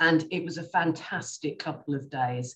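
A woman with an English accent and a very deep, low pitch speaks at a fairly slow pace over light background noise. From England. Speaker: specialist nurse; panelist. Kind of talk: presentation and panel answers. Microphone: video call.

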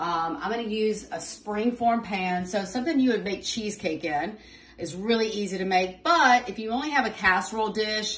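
Her pitch varies in an ordinary way as the woman talks at a moderate pace. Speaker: home cook host. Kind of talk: cooking tutorial. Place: kitchen. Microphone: phone near.

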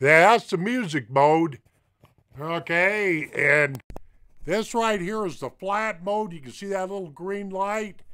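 His pitch is high for a man, with a clear, smooth tone that is also bright and sharp, ordinary pitch variation, and a slow pace.

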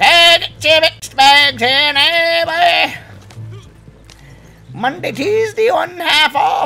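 A man uses a put-on character voice at an extremely high pitch, talking at a very slow pace. He leaves long, frequent pauses, and faint music plays in the background. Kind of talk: casual gaming stream banter. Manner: pitchy, hawking.

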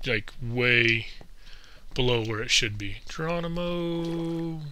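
Audible room echo surrounds a man with a fairly high pitch and a bright, sharp tone, speaking at a very slow pace. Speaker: gaming YouTuber. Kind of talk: casual gameplay commentary. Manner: hesitant, many fillers.

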